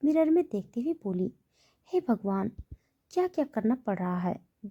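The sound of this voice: The surroundings are quiet. An unforced voice reads aloud.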